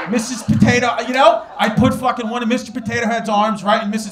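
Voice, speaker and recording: A man with a high pitch speaks at a fairly quick pace amid noticeable background noise. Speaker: stand-up comedian. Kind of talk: stand-up comedy routine.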